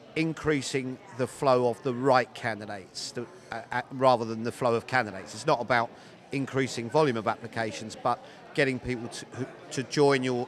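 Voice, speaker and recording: Fairly even intonation at a fairly quick pace over noticeable background noise. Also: man. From Britain. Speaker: recruiting consultant. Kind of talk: interview answer. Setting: conference floor.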